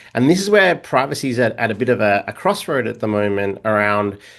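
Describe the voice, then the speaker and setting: Talking at a very fast pace, a man with an Australian accent uses lively intonation. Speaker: data governance expert. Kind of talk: podcast interview. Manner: halting, many fillers and repeats.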